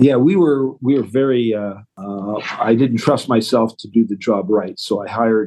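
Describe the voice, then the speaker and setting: A man with a Canadian accent has an unremarkable speaking voice, medium pitch, and ordinary pitch variation. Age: 60s. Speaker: retail business owner. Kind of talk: interview.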